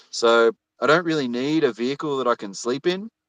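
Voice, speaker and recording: Moderately paced speech from a man with an Australian accent, dry and close with no echo. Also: quiet background. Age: 30s. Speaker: YouTuber. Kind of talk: casual chat. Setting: livestream video call. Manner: halting, many fillers and repetitions.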